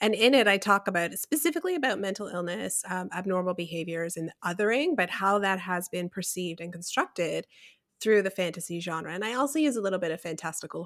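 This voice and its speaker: Speaking at a fairly quick pace with a Canadian accent, a woman has a fairly low pitch and an unremarkable speaking voice. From rural Ontario, Canada. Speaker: podcast host, fantasy writer. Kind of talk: casual chat.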